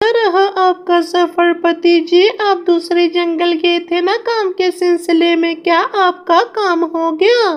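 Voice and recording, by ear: A cartoonish character voice, female-sounding and extremely high, at a fairly slow pace with hardly any pauses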